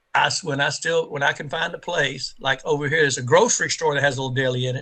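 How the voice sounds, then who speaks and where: There is noticeable background noise. A man speaks very fast with an American accent. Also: fairly high pitch for a man, ordinary pitch variation. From Central Texas (Waco). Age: 60s. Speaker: podcast guest. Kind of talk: casual chat. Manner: halting, many repeated words.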